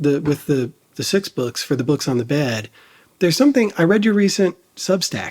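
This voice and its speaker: Speaking in a US Midwestern accent, a man uses a high voice with very wide pitch swings at a moderate pace. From Dayton, Ohio. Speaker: podcast host. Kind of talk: interview.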